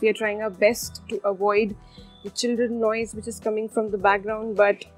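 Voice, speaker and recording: Faint music plays behind a woman whose monotone, flat intonation moves at a moderate pace. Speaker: cooking channel host. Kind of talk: casual vlog chat.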